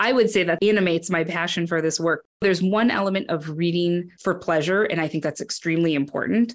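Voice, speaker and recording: A plain, everyday voice with an American accent moves at a fairly quick pace with hardly any pauses and ordinary pitch variation. The recording is very clean, with a silent background. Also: woman, fairly low pitch for a woman. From northern Wisconsin, US. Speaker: education program director. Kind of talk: interview.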